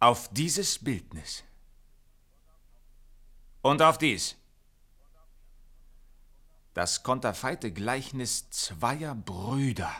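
A man speaks very slowly in a put-on character voice, bright and sharp in tone, with lively intonation, a medium pitch, and long, frequent pauses.

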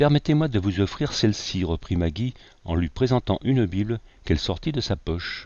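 Lively intonation runs through the clip. It is an unforced reading voice.

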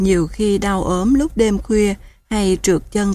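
The text is simply read aloud. Intonation remains fairly even throughout.

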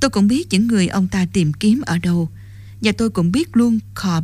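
Natural reading aloud with normal movement in pitch

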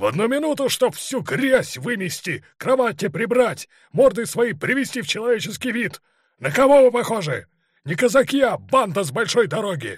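Shouting in a put-on character voice, a man pitches high with big swings and a slightly husky edge, keeping a moderate pace. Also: very clean recording, silent background.

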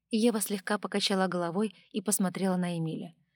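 A natural reading voice is heard. Its intonation is fairly even.

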